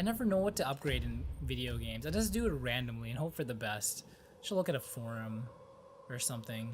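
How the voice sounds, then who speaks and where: A man mumbles at a fairly quick pace. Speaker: gaming commentator. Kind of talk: let's play commentary. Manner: mumbling.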